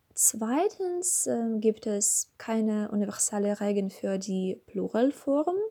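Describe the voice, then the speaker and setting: In a Russian accent, a somewhat breathy voice with a dark, mellow tone and lively intonation moves at a very slow pace. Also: woman, fairly high pitch for a woman. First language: Russian (speaking German). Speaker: language learner. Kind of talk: scripted monologue. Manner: halting.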